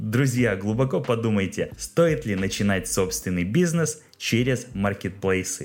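Speaking at a fairly slow pace with hardly any pauses, a man with a fairly low pitch shows lively intonation and vocal fry. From Russia, Kirov. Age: 30s. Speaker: podcast host, small business owner. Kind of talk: solo podcast monologue.

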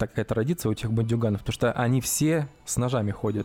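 This man's voice has a dark, mellow tone, sitting at a medium pitch with ordinary pitch variation. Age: 30s. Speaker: podcast co-host. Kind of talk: casual chat.

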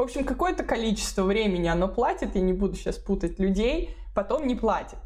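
A woman talks at a very fast pace with vocal fry and very wide pitch swings around a fairly high pitch, keeping her loudness very even. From Moscow region, Russia. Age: 30s. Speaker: relocation consultant and blogger. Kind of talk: casual interview.

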